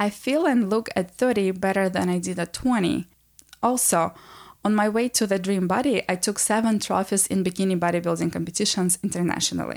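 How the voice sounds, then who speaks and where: A woman at a fairly quick pace in a very clean recording with a silent background. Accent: Russian. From Transnistria. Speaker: podcast host, wellness coach. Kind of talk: solo personal monologue. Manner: warm, intimate.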